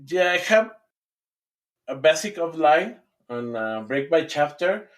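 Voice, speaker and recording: Speaking with a Spanish accent, a man talks at a fairly slow pace with lively intonation. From Mexico. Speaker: fantasy author. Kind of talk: interview answer.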